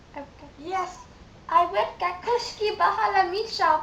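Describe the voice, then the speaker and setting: In a put-on character voice, a woman squeaks at an extremely high pitch with very wide pitch swings, speaking at a moderate pace over clear background noise. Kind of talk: prank call put-on voice. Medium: game stream. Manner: stiff, formal phrasing.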